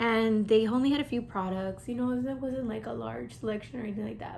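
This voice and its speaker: This woman's voice is pitched fairly high. There is a somewhat breathy quality to it. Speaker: beauty YouTuber. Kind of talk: casual chat while doing makeup. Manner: quiet; hesitant, many fillers.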